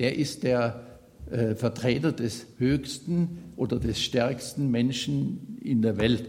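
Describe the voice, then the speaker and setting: Somewhat breathy and at a medium pitch, a man speaks at a very slow pace with very even loudness and ordinary pitch variation, in audible room echo. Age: 70s. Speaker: lay preacher. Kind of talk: sermon. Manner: halting, with fillers and repetitions.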